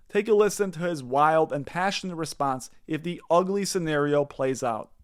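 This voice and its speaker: A man with a plain, everyday voice talks at a moderate pace with a fairly high pitch and ordinary pitch variation. The recording is very clean, with a silent background. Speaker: finance commentary YouTuber. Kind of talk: scripted video commentary narration.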